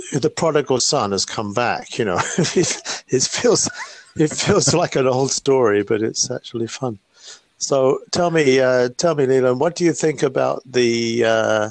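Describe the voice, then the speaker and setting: A man with a British accent talks at a moderate pace, his medium pitch showing ordinary variation. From UK. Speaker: retired tech worker, live stream guest. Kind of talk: casual chat. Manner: halting, hesitant.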